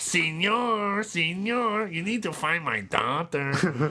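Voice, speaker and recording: A put-on character voice at a middle pitch and a very slow pace, over light background noise. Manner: pleading, dramatic.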